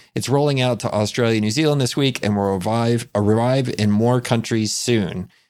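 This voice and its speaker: In a very clean recording with a silent background, a normal speaking voice moves at a moderate pace with hardly any pauses, fairly even intonation and very even loudness. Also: man, medium pitch for a man. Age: 40s. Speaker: podcast co-host. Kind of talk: casual chat.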